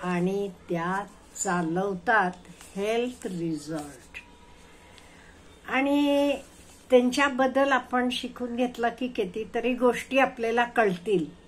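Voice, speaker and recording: A woman talks in an unremarkable speaking voice, pitched fairly high. Her intonation is lively. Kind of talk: casual motivational talk to viewers.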